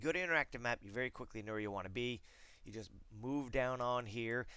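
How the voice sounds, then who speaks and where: On a very clean recording with a silent background, a man of medium pitch rushes along at a very fast pace in a bright, sharp tone. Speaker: real estate agent. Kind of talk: screencast tutorial. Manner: casual, filler words.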